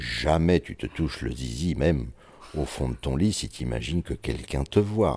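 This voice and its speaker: A man speaks with a dark, mellow tone. Vocal fry runs through his voice. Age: 60s. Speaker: interviewee sharing intimate life story. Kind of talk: personal testimony interview. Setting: at his home. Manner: halting, frequent repetitions; eloquent.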